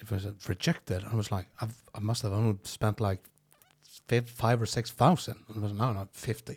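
Fairly low in pitch and somewhat breathy, a man speaks at a moderate pace. His intonation is fairly even. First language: Norwegian. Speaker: comedian. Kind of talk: casual chat. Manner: halting, repeats words.

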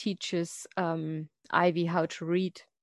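In a German accent, a woman speaks at a fairly low pitch with flat, monotone intonation, her dry, close sound carrying no echo against a quiet background. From Germany. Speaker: podcast co-host and fan site runner. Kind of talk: casual chat.

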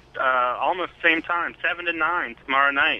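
With noticeable background noise present, this man's pitch shifts in an ordinary way. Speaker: caller. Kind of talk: casual chat. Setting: phone call.

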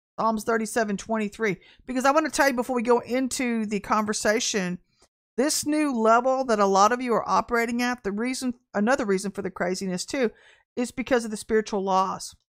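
In a very clean recording with a silent background, a woman speaks in an unremarkable speaking voice, fairly high in pitch, with ordinary pitch variation. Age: 50s. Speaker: prophetic minister and online show host. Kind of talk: prophetic teaching livestream. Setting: livestream.

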